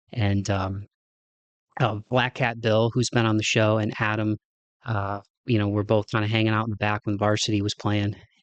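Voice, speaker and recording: A man with a Midwestern accent, fairly low in pitch, in a dry, close sound with no echo, monotone and flat, at a moderate pace, his loudness very even, over a quiet background. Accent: Midwest. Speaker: podcast host. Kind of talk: casual monologue. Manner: halting, many fillers.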